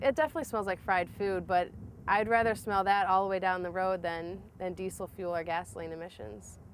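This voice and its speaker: A woman with a Midwestern American accent, medium in pitch, at a moderate pace, with ordinary pitch variation. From US Midwest, Toledo, Ohio. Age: 20s. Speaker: vegetable-oil car road-tripper. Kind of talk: documentary interview. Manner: casual, some hesitations.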